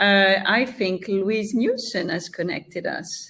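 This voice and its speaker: In a French accent, a woman with a bright, sharp tone and ordinary pitch variation speaks amid audible room echo. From France, Champagne region. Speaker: health tech founder. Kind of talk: interview.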